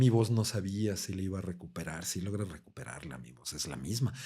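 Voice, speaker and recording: Here a man speaks with a fairly low pitch and a dark, mellow tone. His intonation is lively. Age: 50s. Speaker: coach and coma survivor. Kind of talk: testimony.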